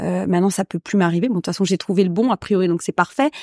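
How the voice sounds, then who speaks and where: A very fast, dark, mellow woman's voice, dry and close with no echo, in a very clean recording with a silent background. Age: 40s. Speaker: actress and playwright. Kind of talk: casual chat.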